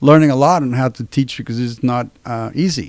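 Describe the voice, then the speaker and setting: In a very clean recording with a silent background, a man with a Spanish accent speaks at a medium pitch with ordinary variation. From Mexico City, Mexico. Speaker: university professor. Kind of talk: interview.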